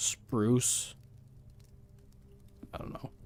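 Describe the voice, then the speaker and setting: Music plays in the background as a man speaks. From Netherlands. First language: Dutch. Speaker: gaming streamer. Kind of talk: casual live-stream commentary.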